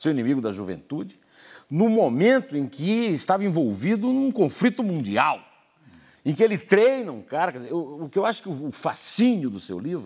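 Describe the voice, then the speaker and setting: Against a quiet background, a man with a fairly high pitch speaks at a moderate pace, his pitch swinging very widely and his loudness rising and falling a lot. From Brazil. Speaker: newspaper editorial writer and commentator; newspaper editorial writer, commentator. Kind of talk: TV interview questions. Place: studio. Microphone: lapel.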